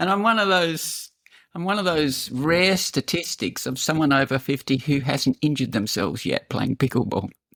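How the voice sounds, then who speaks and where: A woman speaks in a very deep, low voice with very wide pitch swings. The recording is very clean, with a silent background. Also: moderate pace, dry, close sound with no echo. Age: 60s. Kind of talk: casual chat. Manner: animated.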